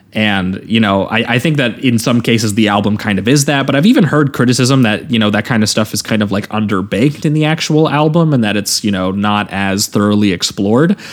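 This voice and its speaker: Talking at a fairly quick pace with hardly any pauses, a man of medium pitch uses a plain, everyday voice with ordinary pitch variation. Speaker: podcast host. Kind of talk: casual podcast discussion.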